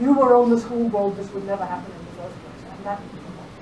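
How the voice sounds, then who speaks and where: A woman at medium pitch with an American accent, in audible room echo with noticeable background noise. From England. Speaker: philosophy and law professor. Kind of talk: lecture. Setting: lecture hall with audience.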